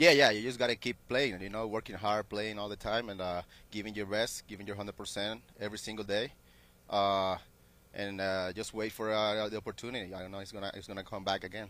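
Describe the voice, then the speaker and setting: A man with a Spanish accent talks very fast in a fairly low pitch, his tone bright and sharp. His intonation is fairly even, and the recording is very clean with a silent background. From Venezuela. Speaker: professional baseball player. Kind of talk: interview. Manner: halting.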